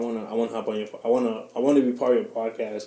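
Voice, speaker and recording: The voice has a dark, mellow tone and a monotone, flat intonation at a very fast pace. Audible room echo surrounds it. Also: man. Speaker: podcast host guest. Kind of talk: casual chat.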